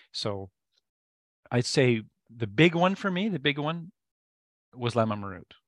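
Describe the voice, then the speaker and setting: A man with an American accent and a medium pitch talks fairly slowly, with very wide pitch swings and long, frequent pauses. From Canada. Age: 50s. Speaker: meditation teacher and musician. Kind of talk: casual interview chat. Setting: video call.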